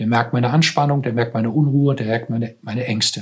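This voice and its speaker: A man talks fairly quickly in a somewhat breathy voice, with pitch that varies in an ordinary way. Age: 60s. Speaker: psychotherapist in cancer care. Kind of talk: interview conversation.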